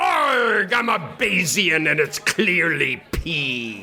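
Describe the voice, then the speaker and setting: A man does a put-on character voice, pitched high. He talks at a very slow pace against clear background noise. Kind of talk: comic. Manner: gruff, mock-piratical.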